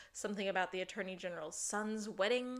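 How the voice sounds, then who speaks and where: Speaking at a fairly quick pace, a woman has an unremarkable speaking voice with a medium pitch and fairly even intonation. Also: very clean recording, silent background. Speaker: podcast host. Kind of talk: casual chat.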